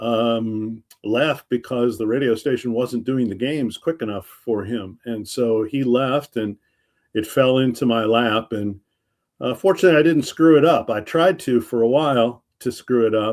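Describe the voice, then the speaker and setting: This man has an unremarkable speaking voice at a medium pitch. His pace is moderate, with ordinary pitch variation. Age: 60s. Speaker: retired sports radio broadcaster. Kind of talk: casual interview.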